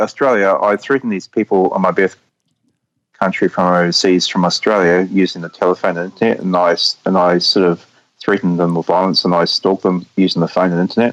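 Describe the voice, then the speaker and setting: A New Zealand accent at a fairly quick pace, in a dry, close sound with no echo. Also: man. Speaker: caller. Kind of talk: call-in interview. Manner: halting, repetitive stammering.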